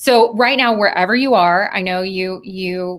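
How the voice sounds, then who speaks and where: Her pitch sits in the medium range for a woman and varies in an ordinary way. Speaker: professor. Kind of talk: online presentation. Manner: lowers pitch and speaks louder when presenting.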